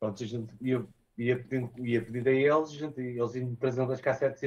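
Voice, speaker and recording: A man's voice, with monotone, flat intonation, moves at a moderate pace. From northern Portugal, Porto area. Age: 30s. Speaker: DJ and music producer. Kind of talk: interview. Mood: relaxed, reminiscing.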